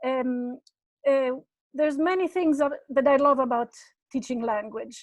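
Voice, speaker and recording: A woman's high voice in an Italian accent, fairly slow, with ordinary pitch variation and long, frequent pauses. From Italy. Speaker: Italian language professor. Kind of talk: webinar panel introduction. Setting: video webinar.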